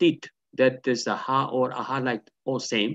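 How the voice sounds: A man speaks at a fairly slow pace with a medium pitch.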